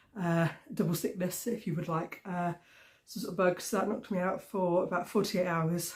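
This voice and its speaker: A somewhat breathy woman with a British accent speaks at medium pitch and a moderate pace with fairly even intonation. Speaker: crafting vlogger. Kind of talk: casual chat. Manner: hesitant, many fillers.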